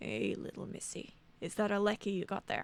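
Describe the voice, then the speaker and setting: A woman puts on a raspy character voice at a medium pitch. She speaks at a moderate pace. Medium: read story. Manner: folksy, ingratiating.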